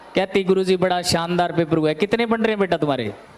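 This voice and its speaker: A man speaks in a high pitch with ordinary pitch variation. Noticeable background noise sits behind him. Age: 30s. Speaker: coaching teacher. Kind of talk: classroom lecture. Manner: animated.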